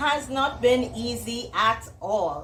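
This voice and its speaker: Audible room echo surrounds a woman speaking with a Trinidadian accent. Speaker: entrepreneur and author. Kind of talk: motivational presentation.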